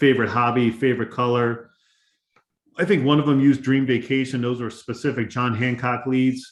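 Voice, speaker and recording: A man of medium pitch speaks with fairly even intonation. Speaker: life insurance agency owner. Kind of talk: training webinar. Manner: fast.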